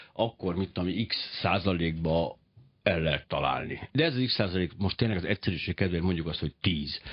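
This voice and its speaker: The pace is fairly quick as a man talks. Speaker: radio talk show host. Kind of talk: radio interview. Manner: fast.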